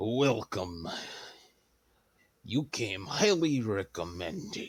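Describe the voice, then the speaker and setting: Using a put-on character voice, a man speaks very slowly in a raspy tone at a medium pitch with very wide pitch swings. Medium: actual play. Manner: formal, authoritative.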